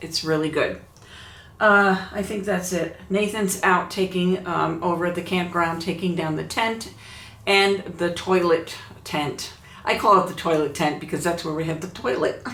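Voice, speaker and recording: Amid noticeable background noise and audible room echo, a woman speaks at a moderate pace with a fairly low pitch and fairly even intonation. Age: 70s. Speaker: YouTuber. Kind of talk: casual vlog talk.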